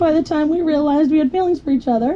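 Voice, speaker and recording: Speaking very fast, a woman is heard against noticeable background noise. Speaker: bride. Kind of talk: wedding vows.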